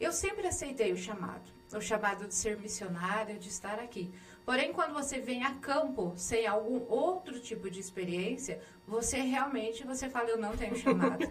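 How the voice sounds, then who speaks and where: A woman with a Minas Gerais accent talks at a moderate pace, her fairly high voice rising and falling in lively intonation. There is audible room echo along with noticeable background noise. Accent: mineiro. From Minas Gerais, Brazil (Andradas). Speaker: missionary and local official. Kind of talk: interview.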